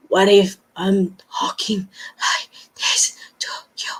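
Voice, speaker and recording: This is a put-on character voice with a breathy quality. It moves at a very slow pace. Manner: demonstrating an unnatural voice.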